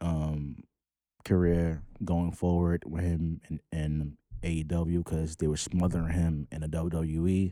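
A man's very deep, low voice, dark and mellow in tone, flat and monotone, with a New York accent. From New York, the Bronx. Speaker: podcast co-host. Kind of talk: casual chat.

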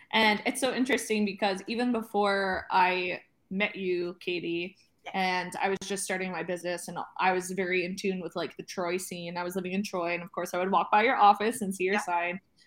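Here is a woman with an unremarkable speaking voice and a medium pitch. She moves at a fairly quick pace with fairly even intonation. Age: 30s. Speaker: podcast host. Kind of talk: casual chat.

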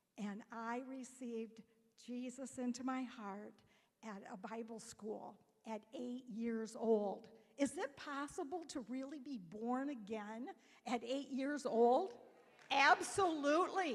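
At a very slow pace, a woman speaks in a high pitch with ordinary pitch variation and big swings in loudness. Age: 60s. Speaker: church member. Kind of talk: testimony. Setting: church.

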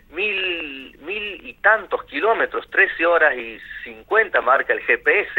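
Speaking at a very slow pace, a man's voice shows big swings in loudness. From northwest Argentina, Amaicha del Valle (Tucumán). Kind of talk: radio interview.

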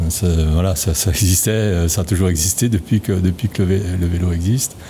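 A man's very deep, low voice at a moderate pace, with very even loudness and fairly even intonation. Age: 70s. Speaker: retired bicycle component engineer. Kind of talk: interview. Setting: on location at a company site.

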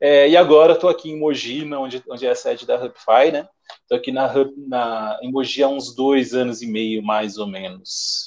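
Moderate pace and ordinary pitch variation from a man with a medium pitch. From São Paulo, Zona Leste (raised from age 7-8; born in Minas Gerais). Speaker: sales representative. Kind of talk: casual interview chat. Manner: hesitant with frequent repetitions.

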